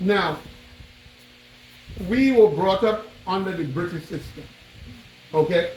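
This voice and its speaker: Speaking at a fairly slow pace, a man uses a high pitch with ordinary variation and long, frequent pauses. Noticeable background noise and audible room echo surround him. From Tobago, Trinidad and Tobago. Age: 70s. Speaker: visitor tracing his ancestry. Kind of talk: storytelling to elders. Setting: meeting at a chief's palace.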